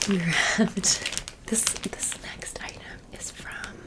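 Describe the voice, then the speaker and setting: Whispering at a very slow pace, a woman speaks against noticeable background noise. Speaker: ASMR creator. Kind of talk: casual haul talk to camera, ASMR. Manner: friendly, chatty.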